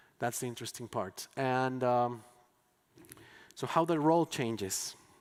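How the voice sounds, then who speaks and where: This is a man's voice at medium pitch. His pitch varies in an ordinary way. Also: fairly slow pace. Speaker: educator. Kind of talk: conference talk. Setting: stage with audience. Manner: halting.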